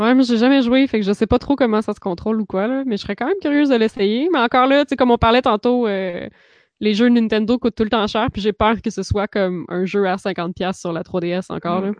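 A woman's plain, everyday voice, fairly high in pitch with ordinary variation, at a fairly quick pace in a dry, close sound with no echo. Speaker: podcast co-host. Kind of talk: casual chat. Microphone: new microphone.

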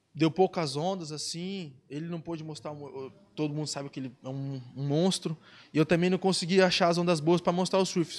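At a moderate pace, a man speaks in a plain, everyday voice with big swings in loudness. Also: fairly high pitch for a man, fairly even intonation. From Brazil, Ubatuba (São Paulo coast). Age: 20s. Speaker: professional surfer. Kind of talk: casual chat.

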